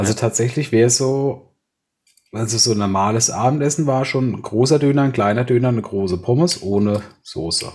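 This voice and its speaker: Somewhat breathy and at medium pitch, a man talks at a fairly quick pace. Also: ordinary pitch variation. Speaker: podcast co-host. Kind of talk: casual chat.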